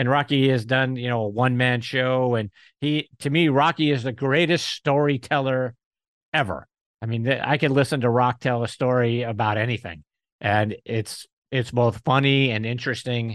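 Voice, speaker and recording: A man with an ordinary speaking voice talks at a moderate pace and medium pitch over a quiet background. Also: fairly even intonation, dry, close sound with no echo. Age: 50s. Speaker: golf media personality. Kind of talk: casual chat.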